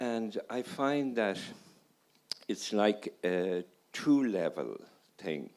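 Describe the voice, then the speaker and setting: In an Irish accent, the speaker talks at a very slow pace with ordinary pitch variation and long, frequent pauses. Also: man, medium pitch for a man. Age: 70s. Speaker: audience member, family doctor. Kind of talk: audience comment. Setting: audience at festival.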